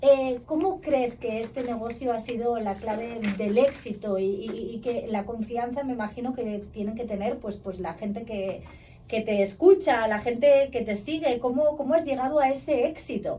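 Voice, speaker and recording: A woman with a fairly high pitch and a normal speaking voice talks at a moderate pace with ordinary pitch variation and hardly any pauses. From Spain. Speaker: interviewer. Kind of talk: interview.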